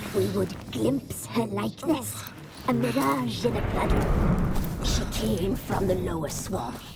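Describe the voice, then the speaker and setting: A cartoonish character voice with low pitch moves at a fairly slow pace over loud background noise. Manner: cold, eerie, speaks as "we".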